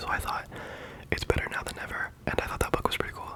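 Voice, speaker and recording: Whispered words tumble out very rapidly amid clearly audible background noise. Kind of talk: ASMR reading of insect facts. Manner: soft-spoken; casual, chatty.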